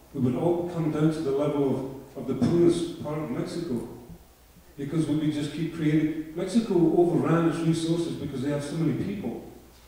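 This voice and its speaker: A man at a fairly high pitch and fairly quick pace, with fairly even intonation, audible room echo and noticeable background noise. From Scotland. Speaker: audience member asking a question. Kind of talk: audience question at debate. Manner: halting.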